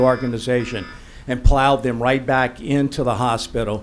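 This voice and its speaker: There is audible room echo around the voice. A man with a medium pitch talks at a moderate pace. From Louisiana, New Iberia. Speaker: hospital board applicant. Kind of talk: public comment at council meeting. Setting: parish council meeting.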